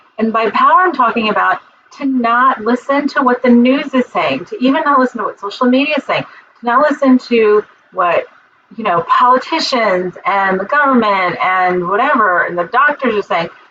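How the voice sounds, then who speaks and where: A woman's high-pitched voice rises and falls in a lively way, with noticeable background noise behind it. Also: moderate pace. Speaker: spiritual teacher. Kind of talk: livestream talk. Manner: animated; loud. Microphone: muffled computer mic, external mic not plugged in.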